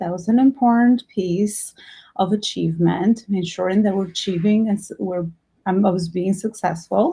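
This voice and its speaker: A woman with an Albanian accent speaks at a medium pitch and a moderate pace, her intonation fairly even. Her tone is dark and mellow and somewhat breathy, against a quiet background. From Albania, moved to New York at fifteen. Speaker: entrepreneur and business coach. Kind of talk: workshop talk.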